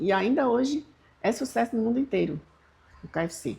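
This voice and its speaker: This woman's voice has a dark, mellow tone and is somewhat breathy. She talks at a moderate pace with lively intonation. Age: 70s. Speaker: channel host. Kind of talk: casual talk to camera.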